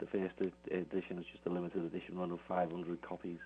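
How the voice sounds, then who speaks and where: In a Liverpool accent, a man talks at a fairly quick pace with a very deep, low pitch. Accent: Scouse. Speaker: Beatles author. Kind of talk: radio interview. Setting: phone call.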